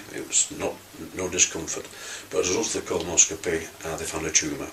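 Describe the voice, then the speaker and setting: A man speaking at a very fast pace amid noticeable background noise. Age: 60s. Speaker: cancer patient. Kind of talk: testimony. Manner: halting, many fillers and restarts.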